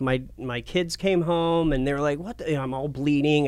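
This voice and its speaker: A man with an American accent, fairly high in pitch, with an unremarkable speaking voice and ordinary pitch variation. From Portland, Oregon. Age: 30s. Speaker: TV and radio personality. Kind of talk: casual interview.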